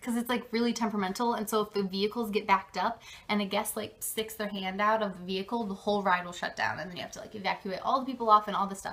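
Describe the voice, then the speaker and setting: At a very fast pace, a woman talks in a bright, sharp tone with a medium pitch and fairly even intonation. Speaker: vlogger, theme park college program intern. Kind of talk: casual vlog.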